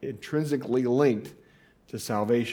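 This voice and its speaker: A man with an American accent speaks in a plain, everyday voice at medium pitch, with ordinary pitch variation and a moderate pace. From Indiana. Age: 40s. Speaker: pastor. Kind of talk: sermon. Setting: church.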